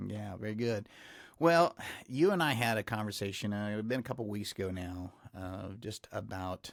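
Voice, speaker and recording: With a Texas accent, a man with a fairly low voice speaks at a moderate pace on a very clean recording with a silent background. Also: ordinary pitch variation. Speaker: podcast host. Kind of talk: interview podcast. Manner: hesitant, many fillers.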